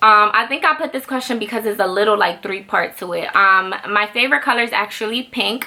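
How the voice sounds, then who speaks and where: In a Dominican accent, the speaker goes at a fairly quick pace with hardly any pauses and ordinary pitch variation over noticeable background noise. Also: woman, fairly high pitch for a woman. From Dominican Republic. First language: Spanish. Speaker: YouTube vlogger. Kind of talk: casual Q&A vlog. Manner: fast.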